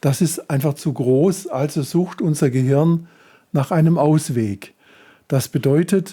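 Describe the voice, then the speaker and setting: A dark, mellow tone carries speech at a fairly slow pace. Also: man. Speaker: self-help coach. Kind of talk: tutorial.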